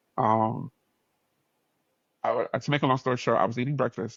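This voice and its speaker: A man with an American accent at a very fast pace. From New York. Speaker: podcast host. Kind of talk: casual chat. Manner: animated.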